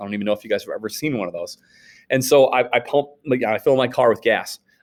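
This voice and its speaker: In a very clean recording with a silent background, a man speaks at a fairly quick pace in a Northern US accent. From Wisconsin, US Upper Midwest. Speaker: high school history teacher. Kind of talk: recorded class lecture. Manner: casual, halting with repetitions.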